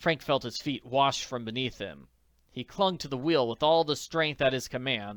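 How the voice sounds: The pitch shows ordinary variation. It is a natural reading voice.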